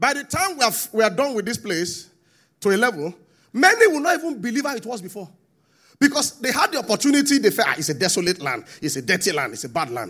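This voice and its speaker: A man with a Nigerian accent talks very fast in a high, bright, sharp voice with very wide pitch swings and big swings in loudness. The recording is very clean with a silent background. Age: 40s. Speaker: pastor. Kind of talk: sermon.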